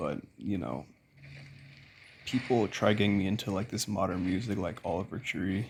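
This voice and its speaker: A somewhat breathy, fairly low male voice. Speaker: YouTuber. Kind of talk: casual rant. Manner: casual, filler-heavy.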